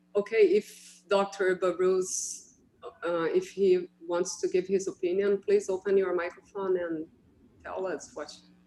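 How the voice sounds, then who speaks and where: A woman speaks fairly slowly at medium pitch in a flat, monotone delivery. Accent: Portuguese. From Brazil. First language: Portuguese. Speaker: radiologist, session moderator. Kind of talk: webinar Q&A moderation.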